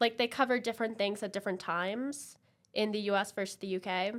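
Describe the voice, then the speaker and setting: Speaking at a fairly quick pace, a woman with an American accent shows ordinary pitch variation. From London, UK and New Jersey, US. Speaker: podcast guest. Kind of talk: casual interview chat.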